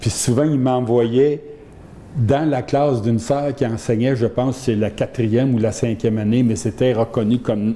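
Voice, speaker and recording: Through noticeable background noise, a man talks at a fairly slow pace in a medium pitch, with fairly even intonation and very even loudness. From Quebec, Saint-Hyacinthe region. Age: 70s. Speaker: retired lawyer and union official. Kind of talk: interview.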